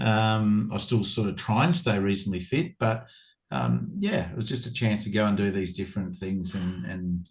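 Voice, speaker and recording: A man's fairly low, somewhat breathy voice with an Australian accent at a moderate pace. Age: 60s. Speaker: former cricketer and cricket coach. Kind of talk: casual interview. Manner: halting, many repetitions.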